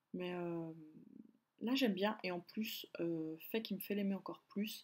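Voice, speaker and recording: Here a woman talks at a fairly slow pace, with a medium pitch and ordinary pitch variation. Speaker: beauty vlogger. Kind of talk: casual product review vlog. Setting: filming at home by a window. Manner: hesitant, many fillers.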